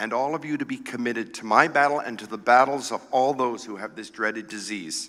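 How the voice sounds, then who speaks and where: Bright, sharp tone from a man with vocal fry, medium pitch, ordinary pitch variation and a moderate pace. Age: 60s. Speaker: cancer patient giving a speech. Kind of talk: prepared speech.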